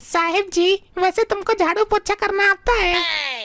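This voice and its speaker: In a squeaky, cartoonish character voice at an extremely high pitch, a woman speaks at a fairly slow pace. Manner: deferential, addresses employers as sahib and madam.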